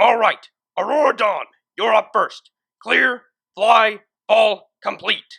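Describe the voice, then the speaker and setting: A put-on character voice, fairly high in pitch and stern in tone, at a fairly slow pace with long, frequent pauses. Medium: read story. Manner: stern, commanding, drill-sergeant.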